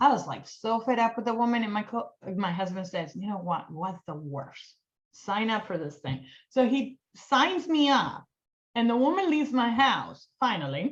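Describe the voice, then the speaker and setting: A woman with a Colombian accent speaks in an animated tone, her fairly high, somewhat breathy voice making very wide pitch swings. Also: moderate pace. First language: Spanish. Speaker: cosmetics sales director. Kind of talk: casual interview chat.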